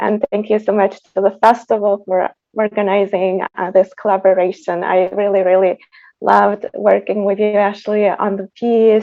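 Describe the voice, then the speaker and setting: With a Tatarstan accent, a woman talks at a fairly slow pace in a medium pitch, her intonation monotone and flat. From Tatarstan, Russia. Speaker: composer. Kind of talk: panel discussion.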